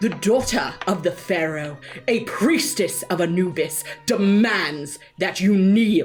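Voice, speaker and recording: A loud, booming, female-sounding put-on character voice at a medium pitch moves at a fairly slow pace over faint music in the background. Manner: booming, commanding.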